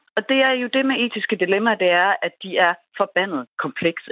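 A woman talks at a moderate pace in a normal speaking voice with lively intonation. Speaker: media and tech expert, company director. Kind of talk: radio interview.

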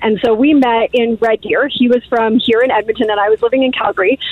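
Over noticeable background noise, a woman talks at a fairly quick pace in a high voice. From Guyana. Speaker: caller. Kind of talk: casual chat. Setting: phone call.

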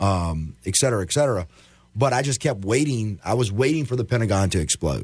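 Fairly quick, somewhat breathy speech from a man with a fairly low pitch and lively intonation, very clean recording with a silent background. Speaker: army veteran and 9/11 first responder. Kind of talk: interview, personal testimony.

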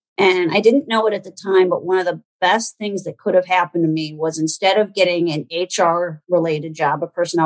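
At a moderate pace, a woman talks with a fairly low pitch and fairly even intonation. The sound is dry and close, with no echo. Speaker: HR consultant and business owner. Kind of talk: interview. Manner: direct.

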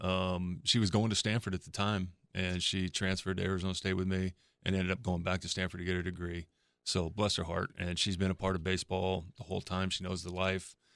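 Words come at a very fast pace in a monotone, flat intonation. The recording is very clean with a silent background. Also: man, very deep, low pitch for a man. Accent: American. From California. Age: 50s. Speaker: former pro baseball pitcher, pitching coach. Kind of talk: radio interview, faith testimony.

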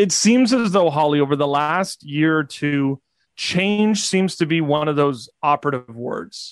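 In an ordinary speaking voice, the speaker goes at a moderate pace with ordinary pitch variation. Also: man. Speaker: podcast co-host. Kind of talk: interview.

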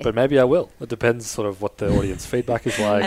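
A man with an Australian accent talks at a very fast pace. Noticeable background noise is present. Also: ordinary pitch variation. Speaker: podcast guest.

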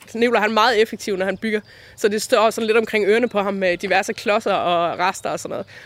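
A woman talks at a fairly quick pace with fairly even intonation amid noticeable background noise. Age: 40s. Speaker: designer and folk high school teacher. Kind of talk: interview. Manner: hesitant, many fillers.

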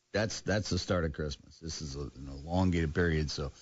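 Very deep and low, this man's voice carries vocal fry. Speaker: sports radio host. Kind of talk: casual sports talk show.

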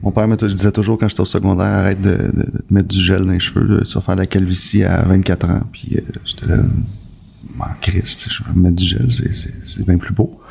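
Over noticeable background noise, a man speaks at a moderate pace. His pitch is very deep and low, with ordinary pitch variation. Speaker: podcast co-host. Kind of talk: casual chat.

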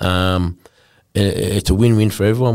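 A man speaks with an Australian accent at a fairly low pitch. The recording is very clean, with a silent background. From north-western New South Wales, Australia. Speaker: former rugby league player. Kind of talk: casual interview.

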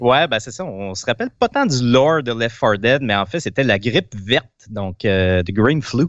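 A man in a Quebec accent, medium-pitched with lively intonation, at a moderate pace, in dry, close sound with no echo. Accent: Québécois French. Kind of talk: quiz question reading; casual chat. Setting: remote video call.

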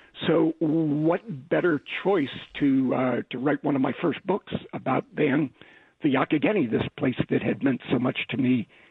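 A man with a plain, everyday voice and an American accent speaks at a fairly slow pace, with a fairly high pitch and ordinary pitch variation. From Pennsylvania. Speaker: author. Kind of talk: interview.

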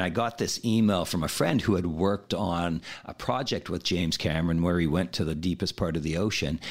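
With a Canadian accent and a very deep, low pitch, a man talks at a fairly quick pace with hardly any pauses and ordinary pitch variation, in a very clean recording with a silent background. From Saskatchewan, Canada. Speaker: free diving instructor. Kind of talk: interview.

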